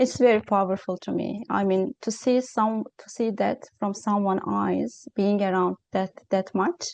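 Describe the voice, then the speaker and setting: A woman's medium-pitched voice in a non-native accent, at a fairly slow pace, with big swings in loudness and hardly any pauses. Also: ordinary pitch variation. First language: not English. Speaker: interviewer. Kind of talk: interview. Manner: halting.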